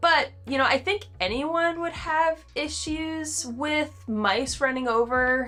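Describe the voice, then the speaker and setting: With an American accent, a woman speaks at a high pitch with lively intonation. Music plays in the background. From North Carolina. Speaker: hiking vlogger. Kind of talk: casual talk to camera.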